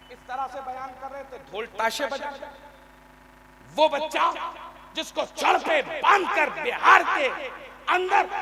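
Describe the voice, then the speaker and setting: A man's raised, projected voice at an extremely high pitch, with noticeable background noise. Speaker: Islamic preacher / religious orator. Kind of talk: Islamic sermon (bayan / takreer) to a live audience. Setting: live gathering with audience responses. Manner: emotional, forceful oratory.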